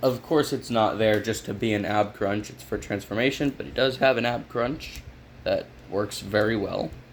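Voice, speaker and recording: Marked by vocal fry, a man talks at a moderate pace with ordinary pitch variation. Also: medium pitch for a man. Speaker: toy reviewer. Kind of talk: product review. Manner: casual, conversational.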